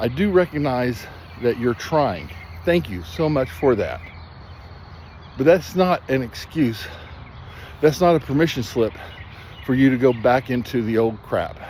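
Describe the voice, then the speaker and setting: This man talks at a fairly slow pace, medium in pitch, with very wide pitch swings. Long, frequent pauses break his speech over noticeable background noise. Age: 60s. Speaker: substance abuse counselor. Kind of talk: motivational talk. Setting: outdoors. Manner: animated.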